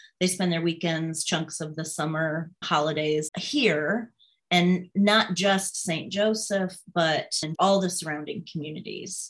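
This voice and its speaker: A woman with a Midwestern American accent speaks at a very slow pace. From southwest Michigan, US Midwest. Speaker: political candidate. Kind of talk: interview.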